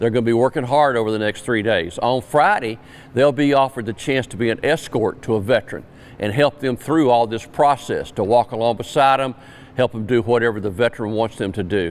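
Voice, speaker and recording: Ordinary pitch variation runs through speech delivered fairly quickly. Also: man, medium pitch for a man. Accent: South Carolina. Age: 70s. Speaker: Vietnam veteran, event organizer. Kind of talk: interview.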